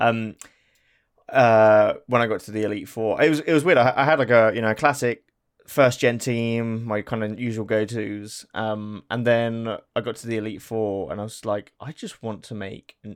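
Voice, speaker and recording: A man with an English accent talks at a moderate pace in a medium pitch, his loudness swinging widely. The recording is very clean, with a silent background. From England. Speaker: podcast co-host. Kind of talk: casual chat.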